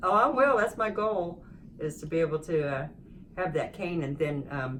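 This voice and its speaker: Over noticeable background noise, a woman with a fairly low pitch uses lively intonation at a moderate pace. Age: 60s. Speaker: rehabilitation patient. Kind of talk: interview. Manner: halting.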